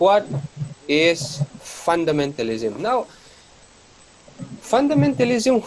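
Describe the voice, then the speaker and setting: With very wide pitch swings and a very slow pace, a man talks through noticeable background noise. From Northeast India, Mizoram. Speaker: college lecturer. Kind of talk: lecture.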